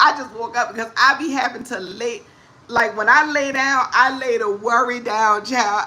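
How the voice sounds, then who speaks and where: A woman's raised, projected voice in a New Orleans accent, high-pitched and lively in intonation, at a moderate pace over noticeable background noise. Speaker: comedic talk show host. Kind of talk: casual livestream talk to viewers. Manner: animated, upbeat.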